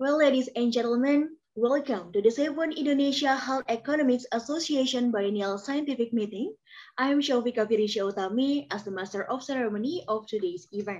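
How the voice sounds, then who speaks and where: A woman talks at a fairly quick pace in a high voice with ordinary pitch variation. The background is quiet. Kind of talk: formal event hosting announcement. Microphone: webcam.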